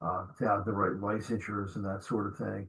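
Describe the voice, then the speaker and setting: A somewhat breathy man at a moderate pace. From New Jersey. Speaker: podcast host, security trainer. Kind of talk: interview.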